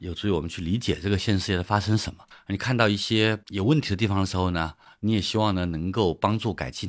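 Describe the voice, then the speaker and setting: A man speaks at a very fast pace with a fairly low pitch and ordinary pitch variation. The recording is very clean, with a silent background. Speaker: economist and author. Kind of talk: interview. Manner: halting.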